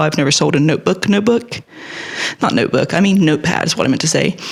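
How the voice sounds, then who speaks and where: The words come at a very fast pace while noticeable background noise runs underneath. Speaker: artist vlogger. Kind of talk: casual chat. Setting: home art studio.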